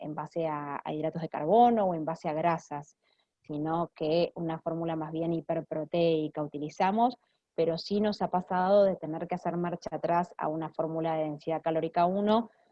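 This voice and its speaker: Using a normal speaking voice, a woman with a fairly low pitch talks at a moderate pace with fairly even intonation. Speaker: clinical nutritionist. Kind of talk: Q&A after a lecture.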